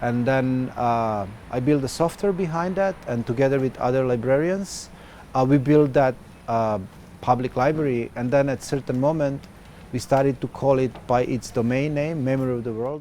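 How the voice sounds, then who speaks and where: At a moderate pace, a man with a Serbo-Croatian accent talks in a dark, mellow tone. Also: medium pitch for a man, ordinary pitch variation. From former Yugoslavia. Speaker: activist and software developer. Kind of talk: interview. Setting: festival. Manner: hesitant, many filler sounds.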